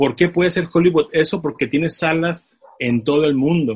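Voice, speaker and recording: Somewhat breathy and fairly high-pitched, a man talks in an animated tone. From Tijuana, Mexico. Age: 30s. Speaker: film producer. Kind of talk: interview.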